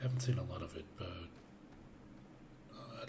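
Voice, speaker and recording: Noticeable background noise sits behind a relaxed tone delivered at a fairly slow pace. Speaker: gaming YouTuber. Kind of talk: let's play commentary. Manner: casual, relaxed.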